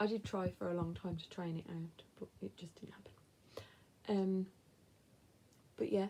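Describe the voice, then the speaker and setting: A woman with a dark, mellow tone and a somewhat breathy, medium-pitched voice. Her loudness swings widely, her intonation stays fairly even, and she takes long, frequent pauses. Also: moderate pace. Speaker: lifestyle vlogger. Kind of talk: casual chat. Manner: hesitant fillers.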